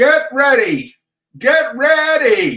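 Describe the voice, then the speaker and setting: With a slight echo, a man speaks at an extremely high pitch. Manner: bellowing, shouting.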